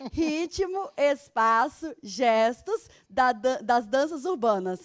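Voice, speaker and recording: Over a quiet background, a high-pitched woman speaks very slowly with very wide pitch swings in a dry, close sound with no echo. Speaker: physical education teacher. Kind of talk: televised remote class for sixth graders.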